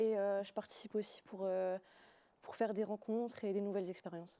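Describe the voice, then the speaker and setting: Her tone is dark and mellow. This woman's intonation stays monotone and flat. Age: 18. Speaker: student panelist. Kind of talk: live talk show. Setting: studio.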